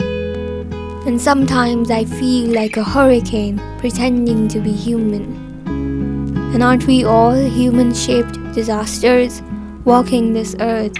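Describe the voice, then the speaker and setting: A woman speaking at a fairly slow pace, with music in the background. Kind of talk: poetry reading.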